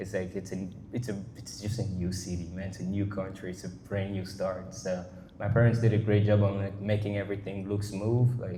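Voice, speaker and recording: A man with a French accent at a fairly low pitch, fairly quick and monotone, flat in intonation, with audible room echo. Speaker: artist. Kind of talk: casual interview. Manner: halting, many false starts and fillers.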